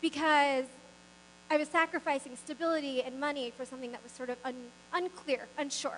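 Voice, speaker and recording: A woman's high, raised, projected voice in a Mid-Atlantic accent, with ordinary pitch variation and a moderate pace, against noticeable background noise. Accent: American, Mid-Atlantic. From US East Coast, Maryland suburbs of Washington DC. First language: not English. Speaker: business founder, keynote speaker. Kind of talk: motivational speech.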